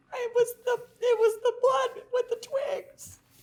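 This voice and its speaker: In a put-on character voice, a female-sounding voice speaks at a fairly slow pace with an extremely high pitch. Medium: stage play. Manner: halting, stammering.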